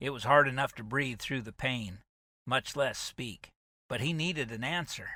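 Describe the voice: Someone does plain reading aloud with ordinary pitch variation. The background is quiet.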